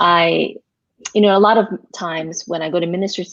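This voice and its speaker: Talking at a fairly quick pace, a woman with an American accent has a plain, everyday voice, a fairly low pitch and fairly even intonation. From US, Korean American community. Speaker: pastor. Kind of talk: interview. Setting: live online broadcast.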